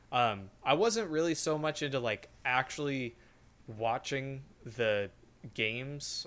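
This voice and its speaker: His voice is fairly high in pitch, and it moves with ordinary variation. The man has a plain, everyday voice. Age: 20s. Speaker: podcast co-host. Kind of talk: casual chat.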